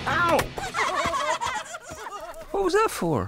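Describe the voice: A cartoonish character voice, bright and sharp, swings very widely in pitch. It moves at a very slow pace over faint background music. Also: man, extremely high pitch for a man.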